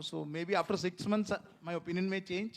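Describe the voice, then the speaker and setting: A man is speaking. He has a Kerala Indian accent. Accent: Malayali Indian English. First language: Malayalam. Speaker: author and screenwriter. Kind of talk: panel discussion. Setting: stage with audience at literature festival. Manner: hesitant, many fillers.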